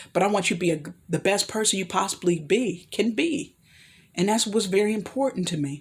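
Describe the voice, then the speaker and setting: A woman speaks fairly quickly in a medium pitch, somewhat breathy, with lively intonation. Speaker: vlogger giving life advice. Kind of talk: solo vlog monologue. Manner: fast; halting, tripping over words.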